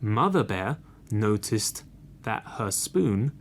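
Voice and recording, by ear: The words are read aloud in a natural voice.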